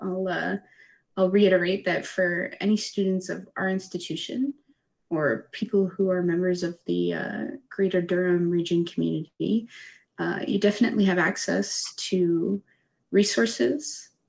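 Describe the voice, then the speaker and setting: A plain, everyday voice with a Canadian accent, at a fairly slow pace. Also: woman. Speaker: student podcast host. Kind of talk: interview; scripted outro.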